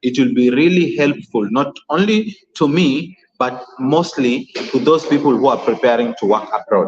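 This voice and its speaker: A man with a Kenyan accent speaks at a moderate pace in a fairly high pitch, his intonation lively and his loudness very even. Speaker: YouTuber hosting a live stream. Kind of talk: live stream chat talk. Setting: live stream. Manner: halting, many fillers and repeats.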